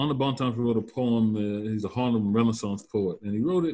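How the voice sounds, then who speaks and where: Against a quiet background, a man with an American accent talks at a moderate pace in a normal speaking voice. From Louisiana Bayou, US South. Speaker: professor of social psychology. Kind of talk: interview.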